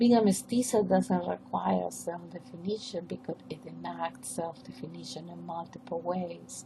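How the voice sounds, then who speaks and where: A woman talks at a moderate pace with hardly any pauses and big swings in loudness over noticeable background noise. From northern coast of Peru. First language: Spanish. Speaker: professor. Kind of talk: academic presentation. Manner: formal.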